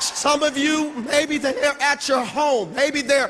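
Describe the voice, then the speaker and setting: Over noticeable background noise, a man uses a raised, projected voice at an extremely high pitch. He speaks at a fairly slow pace with fairly even intonation. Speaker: motivational speaker. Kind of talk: motivational speech. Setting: stage with audience.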